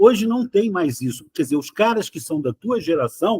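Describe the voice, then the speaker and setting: The sound is dry and close with no echo as a man speaks in a high pitch. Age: 70s. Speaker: podcast host. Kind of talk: casual interview chat.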